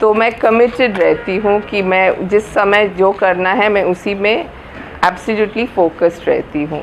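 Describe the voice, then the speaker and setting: The speaker has a Malayalam accent and ordinary pitch variation. Background noise is noticeable. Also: woman, medium pitch for a woman. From Kolkata, India. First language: Malayalam (speaking Hindi). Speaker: literary festival organiser. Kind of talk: interview. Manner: halting.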